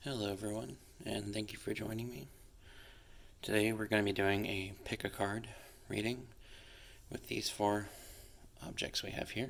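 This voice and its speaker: Soft-spoken whispering moves along at a moderate pace. Long pauses come often. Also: man. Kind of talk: ASMR tarot reading.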